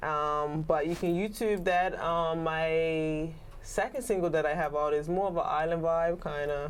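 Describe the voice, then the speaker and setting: In a room with audible echo, a woman talks at a fairly slow pace, her fairly low pitch and fairly even intonation held at very even loudness. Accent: Bermudian. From Bermuda. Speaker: singer, rapper and songwriter. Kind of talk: interview. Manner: hesitant, many fillers.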